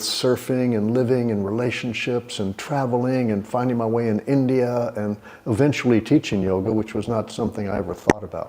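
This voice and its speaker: The speaker moves at a fairly quick pace with hardly any pauses and fairly even intonation. Noticeable background noise runs underneath. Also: man. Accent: American. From Texas, Houston. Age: 60s. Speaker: yoga teacher. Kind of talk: interview.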